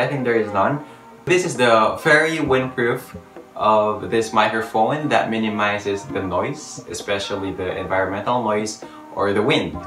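A man talks at a moderate pace, with audible room echo and faint music in the background. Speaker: gadget vlogger. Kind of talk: casual unboxing vlog chat. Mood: cheerful, curious. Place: home room. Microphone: phone near.

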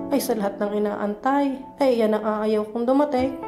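With music in the background, a woman speaks at a moderate pace and with ordinary pitch variation. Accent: Batangas. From Batangas, Philippines. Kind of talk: spoken word poetry. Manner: pleading, emotional.

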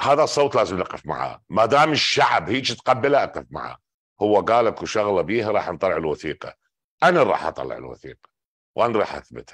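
Over a quiet background, a man with an Iraqi accent speaks at a moderate pace with big swings in loudness. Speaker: political commentator. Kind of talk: political commentary monologue.

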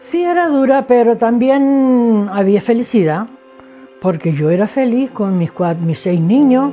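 Faint music sits behind a woman who speaks at a fairly slow pace in a fairly high pitch with very wide pitch swings. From Canary Islands. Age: 70s. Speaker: craftswoman; interviewee. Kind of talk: interview testimony. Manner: halting. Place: home room.

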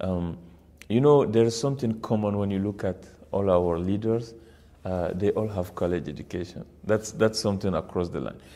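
The man's tone is dark and mellow, pitched fairly low. His pitch varies in an ordinary way at a moderate pace. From Niger, West Africa. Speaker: university founder and president. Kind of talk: interview. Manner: halting, frequent fillers. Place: meeting room. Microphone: lapel.

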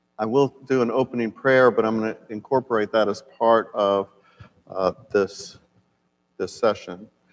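The man speaks at a moderate pace. His intonation is fairly even. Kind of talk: lecture. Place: church. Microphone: lapel.

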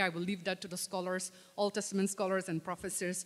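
A woman talks at a fairly quick pace in a medium pitch. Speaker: lay preacher; preacher. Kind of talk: sermon. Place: church. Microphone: podium.

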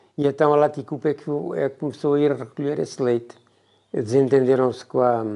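Over a quiet background, a man speaks at a moderate pace in a fairly high voice with a dark, mellow tone. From central Portugal, Boco near Vagos; central Portugal. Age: 70s. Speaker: retired villager, former tailor and milk distributor. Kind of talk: oral history interview. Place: home room. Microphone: lapel.

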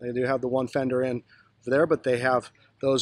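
A man's voice, dry with no echo. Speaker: boat tour host. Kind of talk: tutorial. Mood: relaxed, approving. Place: boat. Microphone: phone near.

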